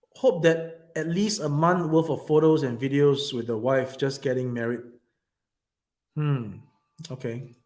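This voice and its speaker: There is audible room echo as a man with a fairly high pitch and ordinary pitch variation speaks at a fairly slow pace, with long, frequent pauses. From Singapore. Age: 40s. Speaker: YouTuber / vlogger. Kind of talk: casual livestream chat. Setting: small office room. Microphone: echoey room sound.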